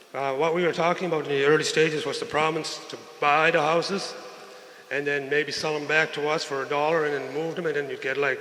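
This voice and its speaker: A man with a fairly high pitch talks at a very fast pace in monotone, flat intonation. Audible room echo and noticeable background noise come through. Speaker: community member asking questions. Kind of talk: question at community meeting. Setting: community meeting. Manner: quiet.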